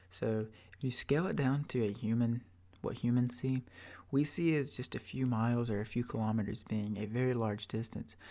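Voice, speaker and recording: Soft-spoken man with a relaxed, dark, mellow tone, medium pitch, fairly even intonation and a fairly quick pace. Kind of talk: ASMR soft-spoken educational ramble. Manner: soft-spoken, relaxed, rambling.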